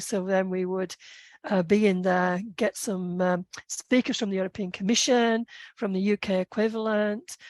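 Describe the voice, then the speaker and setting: A woman with a British accent speaks at a medium pitch and a moderate pace with fairly even intonation, her voice dry and close with no echo against a quiet background. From UK. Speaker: policy consultant and entrepreneur. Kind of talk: podcast interview. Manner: hesitant, many fillers.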